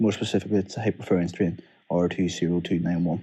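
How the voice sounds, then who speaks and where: A man talks at a very fast pace with a Northern Irish accent. His pitch is very deep and low, and his tone is dark and mellow. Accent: Derry. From Northern Ireland, Derry. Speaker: PhD student. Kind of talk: recorded research summary. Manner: casual.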